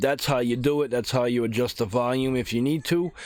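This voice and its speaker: A normal speaking voice from a man at medium pitch and a fairly quick pace. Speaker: gaming YouTuber. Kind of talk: tutorial. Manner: casual.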